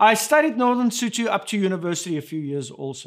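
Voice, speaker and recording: The voice carries a South African accent. It moves at a moderate pace with very wide pitch swings. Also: man. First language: Afrikaans. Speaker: pastor. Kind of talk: sermon.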